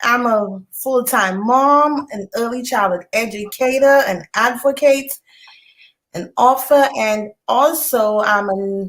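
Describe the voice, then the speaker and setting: A woman speaks with a Saint Lucian accent. Her intonation is lively. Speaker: author and early childhood educator. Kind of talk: interview.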